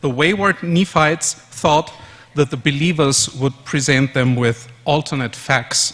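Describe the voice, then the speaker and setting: A man's fairly high voice in a German accent, bright and sharp in tone, with ordinary pitch variation and a very slow pace. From Austria, Vienna. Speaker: conference speaker. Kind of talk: conference presentation.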